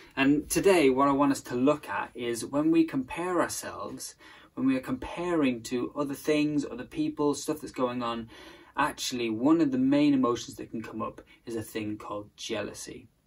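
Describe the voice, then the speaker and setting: The man's pitch rises and falls in an ordinary way. His pace is moderate. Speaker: presenter. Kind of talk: sermon-style talk to camera. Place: home room. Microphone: phone near.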